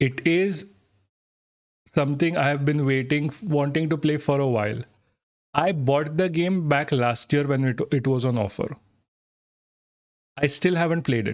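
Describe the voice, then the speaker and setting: Speaking fairly slowly with long, frequent pauses, a man with an Indian accent keeps his loudness very even. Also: fairly high pitch for a man, ordinary pitch variation. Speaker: streamer. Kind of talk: live stream chat. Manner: halting, many false starts.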